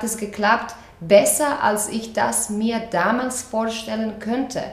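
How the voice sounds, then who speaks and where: Someone with a Croatian accent speaks at a very slow pace with fairly even intonation. Audible room echo and noticeable background noise accompany the voice. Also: woman. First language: Croatian (speaking German). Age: 30s. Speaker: dance teacher. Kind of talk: interview. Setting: in person, open window. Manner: halting, with fillers.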